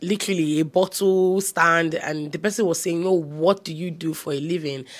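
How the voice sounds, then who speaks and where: At a moderate pace, a woman talks in a fairly low pitch with ordinary pitch variation. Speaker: home decor vlogger. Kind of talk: casual vlog chat. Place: home room. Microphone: lapel.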